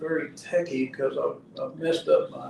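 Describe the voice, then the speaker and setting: Noticeable background noise accompanies a man talking at a fairly slow pace. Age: 70s. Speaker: retired construction worker. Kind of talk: radio talk show discussion. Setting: radio studio.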